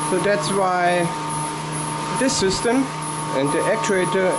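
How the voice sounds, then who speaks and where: At a moderate pace, the speech carries on through loud background noise. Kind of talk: tour explanation. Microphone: phone near.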